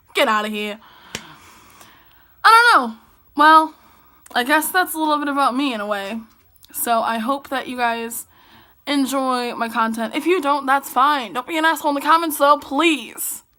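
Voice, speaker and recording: Using a raised, projected voice with a bright, sharp tone, a woman speaks at a moderate pace and high pitch, with lively intonation and long, frequent pauses. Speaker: vlogger. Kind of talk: casual vlog monologue. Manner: loud and dramatic.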